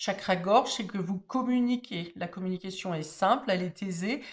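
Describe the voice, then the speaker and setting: The woman talks in a mid-range voice, and her pitch rises and falls in an ordinary way. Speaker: tarot card reader. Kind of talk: tarot reading monologue. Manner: hesitant, many fillers.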